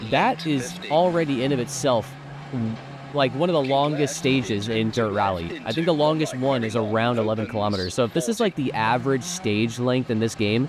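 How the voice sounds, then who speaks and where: Against noticeable background noise, a man with an American accent talks at a fairly quick pace and a medium pitch. His intonation is lively, and his loudness stays very even. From United States. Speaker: sim racing YouTuber. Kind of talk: gameplay review commentary. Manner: casual, conversational.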